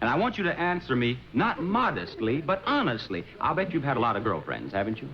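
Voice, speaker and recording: Noticeable background noise sits behind a man with a fairly high pitch and very wide pitch swings. He talks at a fairly quick pace with hardly any pauses. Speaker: game show host. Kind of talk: TV game show hosting.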